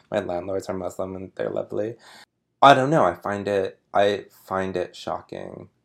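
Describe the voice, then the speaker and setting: A man speaks in a plain, everyday voice with an American accent at a moderate pace, his pitch varying in an ordinary way. His loudness swings widely in a very clean recording with a silent background. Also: fairly low pitch for a man. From Sparks, Nevada, US. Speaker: artist. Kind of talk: casual chat.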